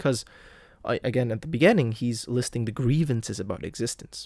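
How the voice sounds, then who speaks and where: This man has a plain, everyday voice with medium pitch and lively intonation. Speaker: literature video host. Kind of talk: lecture. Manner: casual, many fillers.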